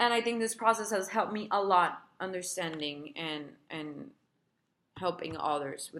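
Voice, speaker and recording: A woman talks at a fairly slow pace with a Spanish accent. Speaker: therapist and healer sharing recovery experience. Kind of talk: personal advice video. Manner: casual, conversational.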